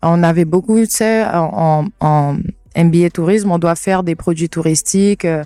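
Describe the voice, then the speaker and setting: A woman's fairly low, dark, mellow voice with fairly even intonation, dry and close with no echo, on a very clean recording with a silent background. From French Guiana, Cayenne. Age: 20s. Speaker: travel content creator. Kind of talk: casual interview. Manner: hesitant, many fillers.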